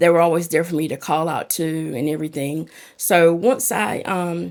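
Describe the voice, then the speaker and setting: A woman's fairly low voice with a strong North Carolina accent, a moderate pace, and a very clean recording with a silent background. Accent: thick southern North Carolina. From North Carolina, Lumberton. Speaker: peer support specialist. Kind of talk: podcast interview.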